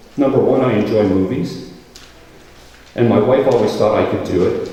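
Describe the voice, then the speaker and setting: A man speaks at very even loudness amid noticeable background noise and audible room echo. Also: moderate pace. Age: 60s. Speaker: radio host and actor. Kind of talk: speech at an event.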